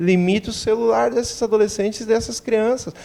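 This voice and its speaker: In a southern Brazilian accent, a man speaks at a high pitch and a moderate pace, his tone dark and mellow and his pitch varying in an ordinary way. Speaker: doctor. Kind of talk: TV interview.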